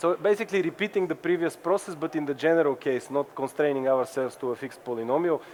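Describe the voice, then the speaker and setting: This man talks at a very fast pace in a fairly high voice. His pitch moves an ordinary amount. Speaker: cryptography researcher. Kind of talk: technical workshop talk. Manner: halting, many fillers and repeats.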